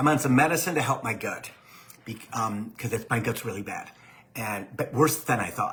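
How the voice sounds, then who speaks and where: A man does a put-on character voice that is raspy. His pitch is medium and his pace moderate. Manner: very fast.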